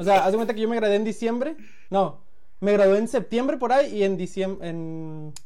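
Audible room echo surrounds a man's high-pitched voice, dark and mellow in tone, delivered at a fairly quick pace with ordinary pitch variation. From Mexico, Culiacán, Sinaloa. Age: 20s. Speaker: tech company employee. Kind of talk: casual chat.

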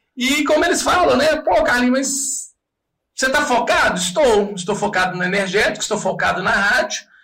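A man projects a raised voice at an extremely high pitch with very even loudness. Audible room echo surrounds him. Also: lively intonation, moderate pace. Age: 40s. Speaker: radio host and comedian. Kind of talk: casual chat.

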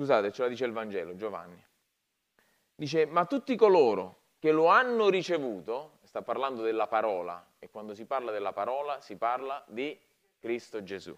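This man has a plain, everyday voice at medium pitch, speaking at a moderate pace with lively intonation and big swings in loudness. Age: 40s. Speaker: pastor. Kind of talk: sermon.

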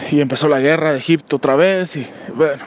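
A man with a fairly high voice and ordinary pitch variation speaks at a moderate speed amid noticeable background noise. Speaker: podcast host. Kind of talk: solo monologue commentary. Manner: halting, many fillers.

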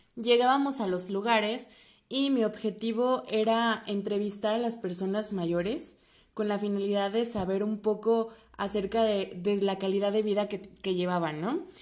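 Speaking with a central Mexican accent, a woman uses an animated tone at a medium pitch, a fairly slow pace and ordinary pitch variation. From central Mexico, State of Mexico. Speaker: podcast host, travel agency. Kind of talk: casual solo podcast talk.

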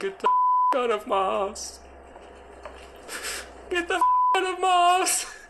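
A put-on character voice shouts at an extremely high pitch, fairly slowly, with long, frequent pauses. Loud background noise and sound effects fill the background. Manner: screaming.

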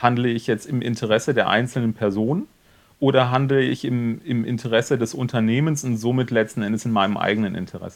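Fairly quick and fairly even in intonation, a man talks at medium pitch in an ordinary speaking voice. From Rhineland (Cologne area), Germany. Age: 40s. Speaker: media agency owner. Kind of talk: casual interview.

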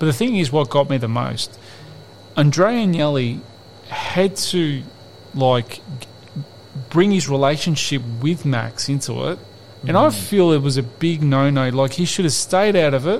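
Speaking with an Australian accent, a man with a fairly high pitch talks at a fairly slow pace with lively intonation and long, frequent pauses, against noticeable background noise. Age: 40s. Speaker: football podcast co-host. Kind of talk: casual chat.

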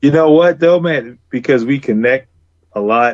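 Talking fairly slowly in an American accent, a man has a normal speaking voice with ordinary pitch variation. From US South. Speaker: comic book artist. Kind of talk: casual chat.

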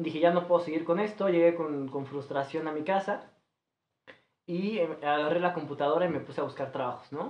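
Speaking at a fairly quick pace in a Mexican accent, a man uses a fairly high pitch with ordinary pitch variation. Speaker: restaurant manager. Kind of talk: casual chat.

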